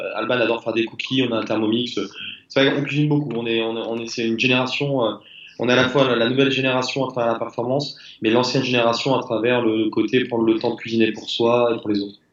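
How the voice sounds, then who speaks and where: Medium in pitch, a man talks at a very fast pace. His intonation stays monotone and flat. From southwest France. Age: 30s. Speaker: crossfit athlete, retired soldier. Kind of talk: interview.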